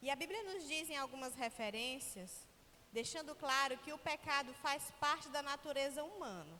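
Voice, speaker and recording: Raising and projecting her voice, a woman speaks at a moderate pace with a high pitch and lively intonation. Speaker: preacher. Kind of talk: sermon. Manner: slurred speech.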